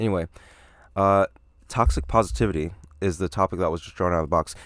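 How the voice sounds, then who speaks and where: A man talks very fast in a very deep, low voice with vocal fry. His pitch varies in an ordinary way, and the sound is dry and close with no echo. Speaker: podcast host. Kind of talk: solo podcast monologue. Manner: casual, many fillers.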